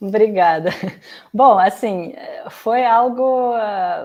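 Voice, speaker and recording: The voice carries a slight Russian accent. Its pitch varies in an ordinary way. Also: woman. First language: Russian (speaking Portuguese). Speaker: youtuber. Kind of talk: interview. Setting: live stream.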